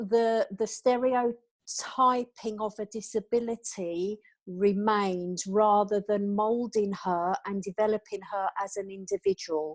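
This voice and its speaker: In a British accent, a woman with a fairly high pitch speaks at a very slow pace and with fairly even intonation. The recording is very clean, with a silent background and a dry, close sound with no echo. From England. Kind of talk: interview.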